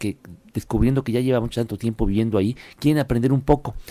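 A man's medium-pitched voice carries a dark, mellow tone with ordinary pitch variation. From Puebla, Mexico. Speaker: travel commentator. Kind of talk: radio segment chat.

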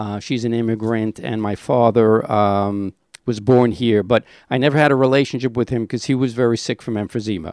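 In an American accent, a man talks at a fairly quick pace and a medium pitch, with fairly even intonation. It is an ordinary speaking voice, recorded with a dry, close sound and no echo. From Brooklyn, New York. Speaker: person in addiction recovery. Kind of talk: testimony.

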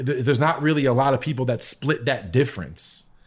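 With an American accent and an unremarkable speaking voice, a man talks at a fairly quick pace in a medium pitch with ordinary pitch variation. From US Northeast, Connecticut. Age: 30s. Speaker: music producer. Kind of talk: casual chat.

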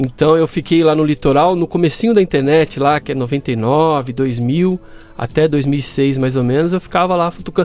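Music playing behind a man's fairly high-pitched voice, moderate in pace, with ordinary pitch movement. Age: 40s. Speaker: systems analyst and fact-checking site owner. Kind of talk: casual interview chat.

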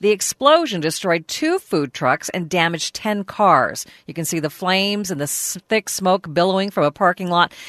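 An unremarkable speaking voice with ordinary pitch variation comes through dry and close, with no echo. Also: woman. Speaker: national news desk reporter. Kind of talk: radio news reading.

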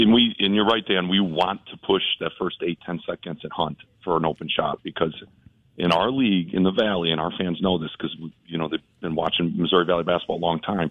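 Speaking fairly quickly with fairly even intonation, this man has a very deep, low pitch. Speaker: basketball head coach. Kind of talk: radio interview.

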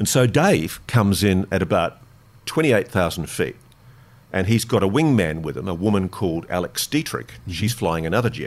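A man with an Australian accent speaks at a moderate pace, his fairly low pitch swinging very widely. The recording is very clean, with a silent background. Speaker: investigative journalist. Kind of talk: interview storytelling. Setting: studio.

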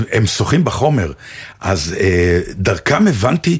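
Vocal fry runs through this man's voice. He speaks fairly slowly while his pitch swings very widely. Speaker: actor and radio co-host. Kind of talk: casual chat.

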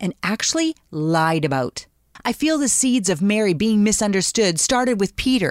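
With a normal speaking voice, a woman speaks at a moderate pace, her pitch fairly high and her intonation lively. The recording is very clean and dry, with a close sound, no echo and a silent background. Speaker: radio host. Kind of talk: devotional show host.

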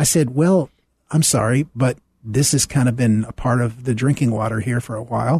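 A man's somewhat breathy, dark and mellow voice at medium pitch, with ordinary pitch variation and a moderate pace, in a dry, close sound with no echo. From US South. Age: 70s. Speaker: minister. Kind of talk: radio interview. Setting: studio.

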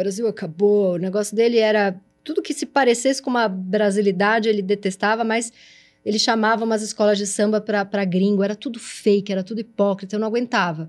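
The delivery, in an unremarkable speaking voice, is fairly quick with ordinary pitch variation. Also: woman. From São Paulo, Brazil. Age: 40s. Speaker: videocast host. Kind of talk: casual interview chat.

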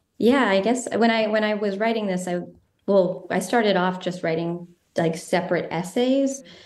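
A woman with a medium-pitched voice talks at a moderate pace. Her pitch varies in an ordinary way, and there is audible room echo. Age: 30s. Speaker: filmmaker and writer. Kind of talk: interview.

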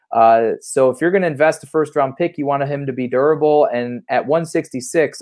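A man with an ordinary speaking voice, fairly high in pitch, talks at a fairly quick pace with ordinary pitch variation and hardly any pauses. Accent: American. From Ohio, Cleveland. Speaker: sports reporter. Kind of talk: casual sports chat.

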